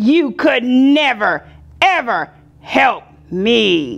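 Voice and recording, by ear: In a put-on character voice, a female-sounding speaker with a high pitch for a woman talks at a very slow pace.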